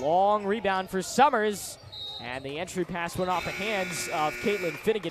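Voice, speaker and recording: A man talks at a fairly slow pace and high pitch, with ordinary pitch variation, over noticeable background noise. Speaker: student sports broadcaster. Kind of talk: live play-by-play commentary. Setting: studio. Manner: loud.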